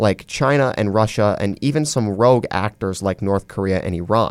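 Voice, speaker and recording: A man speaks with an ordinary speaking voice and a medium pitch. His pace is moderate, with ordinary pitch variation. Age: young. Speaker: university student, writer. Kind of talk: casual interview discussion. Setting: studio.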